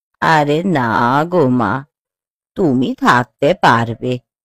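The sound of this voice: In a cartoonish character voice, a woman speaks slowly at an extremely low pitch with ordinary pitch variation. The recording is very clean, with a silent background.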